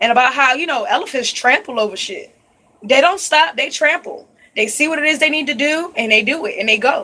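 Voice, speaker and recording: With a raised, projected voice, a woman speaks at a high pitch and a fairly quick pace, her pitch swinging very widely. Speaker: psychic reader. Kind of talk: spiritual reading vlog. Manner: casual, conversational.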